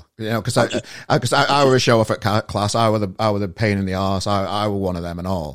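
A man with a Yorkshire accent talks at a very fast pace and fairly low pitch, with ordinary pitch variation. The recording is very clean, with a silent background. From northern England. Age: 40s. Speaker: podcast host. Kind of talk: casual chat.

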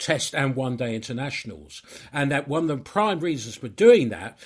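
On a very clean recording with a silent background, a man with an ordinary speaking voice talks at medium pitch and a moderate pace. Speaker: author and journalist. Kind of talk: casual chat.

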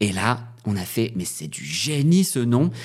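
A man speaks at a very slow pace with very wide pitch swings, recorded very cleanly against a silent background. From northern France. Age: 30s. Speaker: drag performer and DJ. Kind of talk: casual chat.

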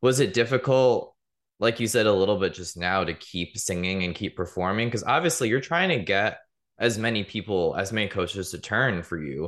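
Over a quiet background, a man with an American accent and an unremarkable speaking voice talks at a moderate pace and fairly low pitch with lively intonation. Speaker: podcast host. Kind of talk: interview, casual chat.

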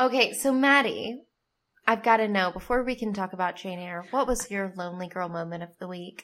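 A woman has an unremarkable speaking voice with a medium pitch. She talks at a fairly quick pace with ordinary pitch variation. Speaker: podcast co-host. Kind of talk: casual chat.

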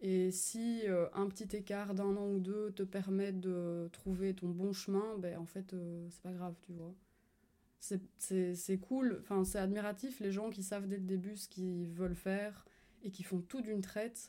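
A dark, mellow tone at a fairly slow pace. The intonation stays flat and monotone. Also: woman, medium pitch for a woman. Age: 20s. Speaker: community manager and fitness coach. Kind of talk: casual interview. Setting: home recording with a dog around.

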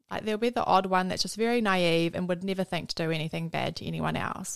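Speaking at a fairly quick pace, a woman with a New Zealand accent has a medium pitch and fairly even intonation. The recording is very clean, with a silent background. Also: dry, close sound with no echo. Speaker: host's friend. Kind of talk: casual chat.

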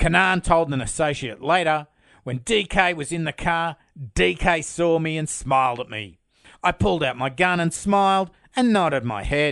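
With an Australian accent and lively intonation, a man speaks at a moderate pace and a fairly high pitch against a quiet background. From Australia, Sydney. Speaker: true crime podcast host. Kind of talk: scripted narration.

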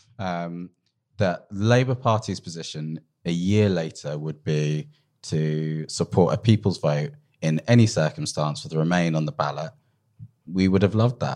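A British accent from a man with a very deep, low voice, lively intonation and a moderate pace. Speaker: podcast host. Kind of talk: political discussion podcast. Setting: live recording.

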